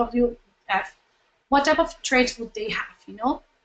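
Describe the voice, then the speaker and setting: Her voice sits at a high pitch, and this woman uses ordinary pitch variation. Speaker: nonprofit communications trainer. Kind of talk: webinar presentation. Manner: fast; halting, many fillers and restarts.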